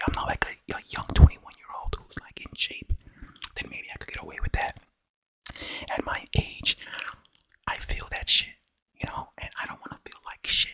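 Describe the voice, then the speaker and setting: A man's whisper at a moderate pace, with long, frequent pauses and big swings in loudness. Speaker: ASMR eating content creator. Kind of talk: casual talk to camera.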